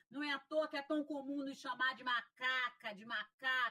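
A woman's high-pitched voice with a bright, sharp tone. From Piauí, Brazil. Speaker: sociology professor and racial equality official. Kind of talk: interview.

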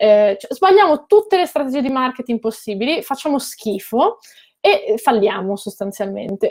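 Lively intonation lifts this woman's ordinary speaking voice, which sits at a fairly high pitch and moves at a moderate pace. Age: 30s. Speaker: political commentator and former local councillor. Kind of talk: interview.

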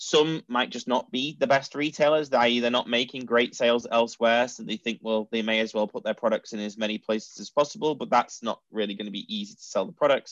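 Speaking with a Mancunian accent, a man talks at a fairly quick pace with hardly any pauses, a medium pitch and ordinary pitch variation, in a dry, close sound with no echo. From Manchester, northern England. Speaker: e-commerce company founder. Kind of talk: interview.

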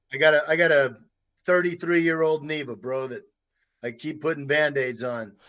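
Against a quiet background, a man with an American accent talks at a fairly slow pace, his fairly high voice bright and sharp in tone, with fairly even intonation. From United States. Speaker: war veteran. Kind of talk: interview.

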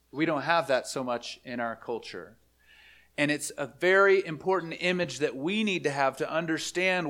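In a very clean recording over a silent background, a plain, everyday voice is heard. It keeps a moderate pace, and its pitch varies in an ordinary way. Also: man. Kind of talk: sermon. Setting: church.

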